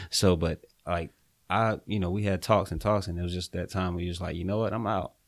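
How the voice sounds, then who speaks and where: In a Southern US accent, a man with a very deep, low voice talks at a fairly quick pace with monotone, flat intonation on a very clean recording with a silent background. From eastern North Carolina. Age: 20s. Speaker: real estate investor. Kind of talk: casual interview.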